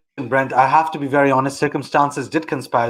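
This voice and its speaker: With a British accent, a man talks at a fairly high pitch. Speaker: public policy institute founder. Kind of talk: interview on live online show.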